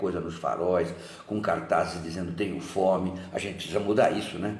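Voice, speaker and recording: Against noticeable background noise and audible room echo, a man with a very deep, low pitch speaks at a moderate pace with fairly even intonation. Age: 70s. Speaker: football fan giving political testimony. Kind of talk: testimony.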